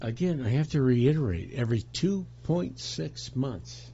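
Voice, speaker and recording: Somewhat breathy, a man with an American accent speaks at a very slow pace with very wide pitch swings. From US. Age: 60s. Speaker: political commentator. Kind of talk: political rant. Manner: animated; halting.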